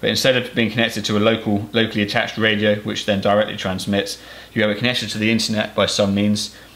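A man talks very fast in a fairly low voice. His intonation is monotone and flat. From Cornwall, England. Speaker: farmer and YouTuber. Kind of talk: tutorial. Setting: farm workshop. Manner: casual, hesitant with fillers. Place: workshop.

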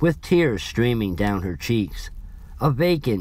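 This is plain reading aloud with lively intonation.

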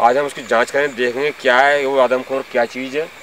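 Over light background noise, a man speaks at a moderate pace with monotone, flat intonation, and the sound is dry with no echo. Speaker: ghost-hunt vlogger. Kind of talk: casual vlog chat. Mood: earnest, slightly suspenseful. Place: forest.

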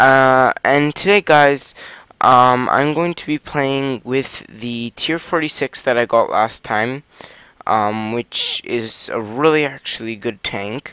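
A man speaks at a very slow pace with ordinary pitch variation. His tone is bright and sharp, and the sound is dry with no echo. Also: medium pitch for a man. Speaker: video game commentator. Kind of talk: casual gameplay commentary. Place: home room.

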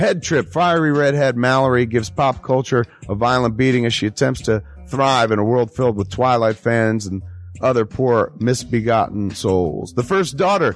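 Lively intonation at a moderate pace, with a dry sound, no echo and faint music in the background. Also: man, medium pitch for a man. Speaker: filmmaker, podcast host. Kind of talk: improvised radio ad read. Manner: casual, joking. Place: studio.

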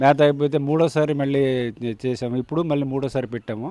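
Fairly high in pitch, a man's voice keeps fairly even intonation. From Vizianagaram district, north coastal Andhra Pradesh. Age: 60s. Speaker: quail farmer. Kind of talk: interview testimony. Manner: halting.

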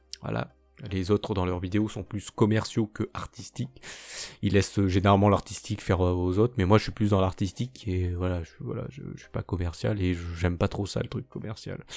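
On a very clean recording with a silent background, a man speaks at a moderate pace with a very deep, low pitch. His loudness swings widely while his pitch varies in an ordinary way. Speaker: YouTuber and amateur artist. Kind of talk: channel announcement monologue. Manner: halting, stammering; unscripted, many fillers.

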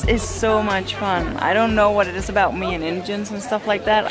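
Clear music plays behind a woman speaking at a moderate pace. The sound is dry, with no echo. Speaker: family vlogger. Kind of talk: casual vlog chat. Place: station. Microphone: phone near.

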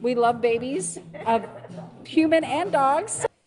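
Faint music plays behind a woman's voice. She speaks at a very slow pace with a high pitch. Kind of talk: interview answer. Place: bar. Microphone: handheld.

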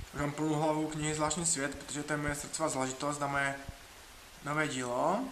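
A man speaks very fast in a fairly high, flat monotone. Room echo and noticeable background noise can be heard. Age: 30s. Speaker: writer and traveler vlogger. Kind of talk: dating self-presentation video; travel video narration.

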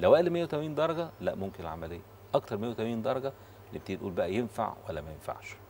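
Over light background noise, a man at medium pitch talks very fast, with very wide pitch swings and big swings in loudness. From Egypt. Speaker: liver surgeon; guest. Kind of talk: TV talk show interview. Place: studio. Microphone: lapel.

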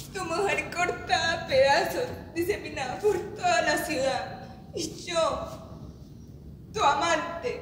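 Speech comes at a very slow pace with audible room echo and light background noise. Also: woman, extremely high pitch for a woman. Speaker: stage actress. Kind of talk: dramatic theatre monologue.

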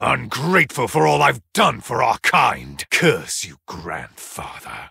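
A man puts on a character voice at a medium pitch, moving slowly with very wide pitch swings. His tone is bright and sharp, with vocal fry and a husky, rough edge.

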